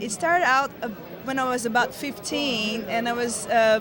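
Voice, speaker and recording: A woman with a Portuguese accent talks at a moderate pace in a high pitch with ordinary pitch variation. Audible room echo and noticeable background noise are present. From Brazil, small town. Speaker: actress. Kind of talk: interview. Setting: convention hotel, on location.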